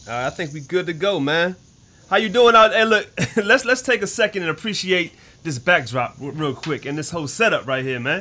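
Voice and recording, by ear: A bright, sharp tone carries lively intonation at a fairly quick pace. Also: man, fairly high pitch for a man.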